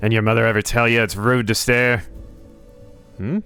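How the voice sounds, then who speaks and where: Clear music plays in the background and hissing is present as a man in a put-on character voice speaks at a medium pitch and a moderate pace. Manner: mocking, taunting.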